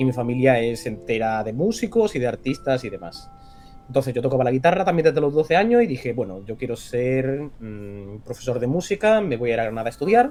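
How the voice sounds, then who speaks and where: With music in the background, the speaker moves at a fairly quick pace. The intonation is lively. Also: man, medium pitch for a man. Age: 20s. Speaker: voice actor. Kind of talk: interview.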